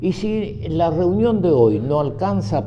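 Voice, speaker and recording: Very slow male speech amid noticeable background noise and audible room echo. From Argentina, Buenos Aires (San Telmo), born in Cuba. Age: 90s. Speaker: group member, nonagenarian. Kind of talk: casual group conversation, storytelling.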